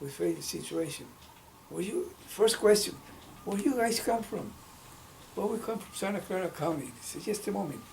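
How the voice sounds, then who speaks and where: The speech moves at a moderate pace. There is audible room echo and noticeable background noise. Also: man. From Mexico, state of Hidalgo. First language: Spanish. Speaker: civil rights activist. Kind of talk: oral history interview. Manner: halting, with self-corrections.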